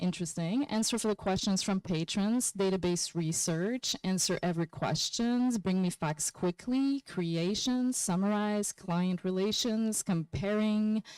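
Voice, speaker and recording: A woman's medium-pitched voice with a non-native accent, lively intonation, a moderate pace, very even loudness and hardly any pauses. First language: not English. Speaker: workshop presenter. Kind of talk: conference workshop presentation. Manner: animated.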